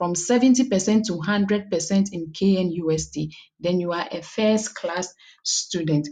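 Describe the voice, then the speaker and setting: A woman's medium-pitched, somewhat breathy voice with a dark, mellow tone, a fairly slow pace and ordinary pitch variation. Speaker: YouTuber giving study-abroad advice. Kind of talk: tutorial. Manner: halting.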